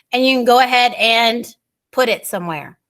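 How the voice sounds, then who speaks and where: Her pitch fairly high, a woman speaks with lively intonation. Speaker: workshop presenter for teachers. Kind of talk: online training workshop. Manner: fast.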